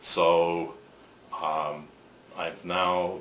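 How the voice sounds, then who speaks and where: A man with a very deep, low voice is heard with audible room echo and noticeable background noise. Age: 60s. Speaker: photographer and shirt company founder. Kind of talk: interview. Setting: on camera interview.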